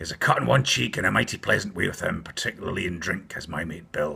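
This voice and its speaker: A raspy, put-on character voice from a man, very deep and low in pitch, at a very fast pace. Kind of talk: bedtime story. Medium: read story. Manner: wheedling, leering.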